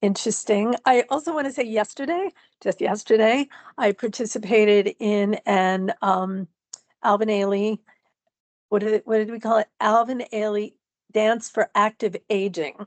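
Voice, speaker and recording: A woman with an unremarkable speaking voice talks at a moderate pace in a fairly high pitch. Her pitch variation is ordinary, and the sound is dry and close with no echo. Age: 60s. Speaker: dancer and writer with multiple sclerosis. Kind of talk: interview.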